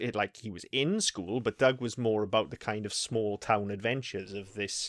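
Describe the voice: This man's voice sits fairly low in pitch, with ordinary pitch variation and a fairly bright tone. He talks at a moderate pace on a very clean recording with a silent background.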